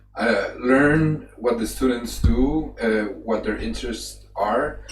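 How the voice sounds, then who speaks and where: A man speaks at a very slow pace. Audible room echo and noticeable background noise surround him. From Colombia, Manizales. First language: Spanish. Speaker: animation artist. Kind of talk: presentation. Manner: halting.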